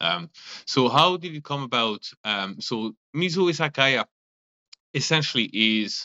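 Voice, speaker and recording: A man with a French accent speaks at a fairly slow pace with very wide pitch swings. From France. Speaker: restaurant owner and chemist. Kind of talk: casual interview. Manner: halting, many fillers.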